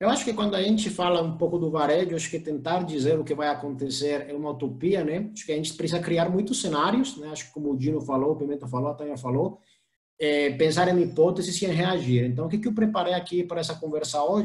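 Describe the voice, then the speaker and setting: A man with a Colombian accent, fairly high in pitch, at a very fast pace with hardly any pauses and ordinary pitch variation. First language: Spanish (speaking Portuguese). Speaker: e-commerce professional. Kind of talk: presentation with slides.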